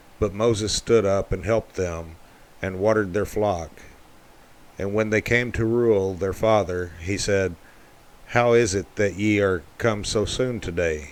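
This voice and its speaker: With an ordinary speaking voice, a man talks fairly slowly at a fairly low pitch and fairly even intonation. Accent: American. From Texas, United States. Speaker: amateur audio Bible narrator. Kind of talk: Bible reading. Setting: home recording with air conditioner hum.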